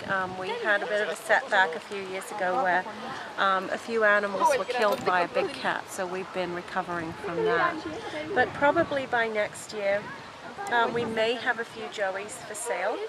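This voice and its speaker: A woman with an English accent talks at a medium pitch and a moderate pace. Her pitch varies in an ordinary way, and background noise is noticeable. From England. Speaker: kangaroo farm owner. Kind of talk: interview. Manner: halting, many fillers.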